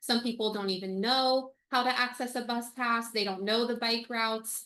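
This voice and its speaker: A woman speaks loudly at a moderate pace with a bright, sharp tone. Her fairly high voice stays monotone and flat. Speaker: supporters' group board member. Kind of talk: meeting report. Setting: video call.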